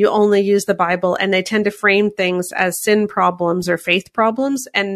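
A woman talks in a normal speaking voice with fairly even intonation. She keeps a moderate pace over a quiet background. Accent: Canadian. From Canada. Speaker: author and speaker. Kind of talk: interview.

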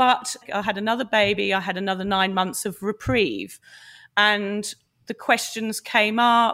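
A woman's medium-pitched voice, bright and sharp in tone, at a fairly slow pace with fairly even intonation. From UK. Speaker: sobriety blogger and mother. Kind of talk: interview about personal story.

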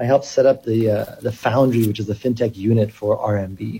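At a moderate pace, this man talks in a dark, mellow tone that is somewhat breathy. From Kenya. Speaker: cryptocurrency company chief executive. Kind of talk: radio interview.

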